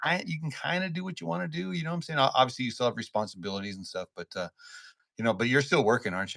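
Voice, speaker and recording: A man talks very fast in a bright, sharp tone. His pitch swings very widely and his loudness rises and falls a lot. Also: medium pitch for a man. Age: 60s. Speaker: podcast host. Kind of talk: casual chat. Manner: stammering, repeats words.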